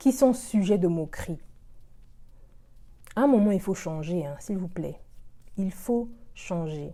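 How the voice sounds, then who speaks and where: A woman speaks at a very slow pace with long, frequent pauses, her medium-pitched voice somewhat breathy and dark and mellow in tone, with lively intonation. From Republic of the Congo. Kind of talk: casual talk to camera.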